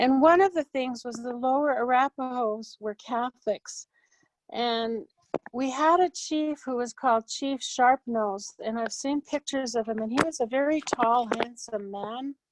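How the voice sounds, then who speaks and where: The sound is dry and close with no echo as a woman speaks fairly slowly in a high voice with ordinary pitch variation. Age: 60s. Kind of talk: cultural storytelling talk. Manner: casual, with fillers and self-corrections.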